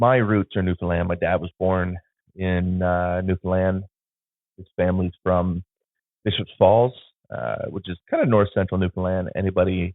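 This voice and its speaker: A man speaks in a very deep, low pitch with an Ontario accent. His loudness swings widely. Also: fairly even intonation, moderate pace. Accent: Canadian (Ontario). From Southwestern Ontario, Canada (Sarnia). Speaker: photographer and podcast host. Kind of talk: casual podcast monologue. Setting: home studio. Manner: hesitant, many fillers. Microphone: phone camera plus podcast mixer.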